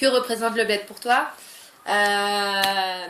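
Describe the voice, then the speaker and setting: There is audible room echo and noticeable background noise as a woman speaks at medium pitch. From France, of Moroccan descent. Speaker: YouTuber. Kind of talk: casual vlog chat. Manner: hesitant, many fillers.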